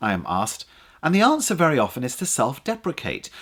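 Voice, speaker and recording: A man with an English accent talks at a very fast pace, his pitch fairly high for a man. His voice swings very widely in pitch and carries vocal fry. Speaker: public speaking coach. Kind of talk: tutorial. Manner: animated.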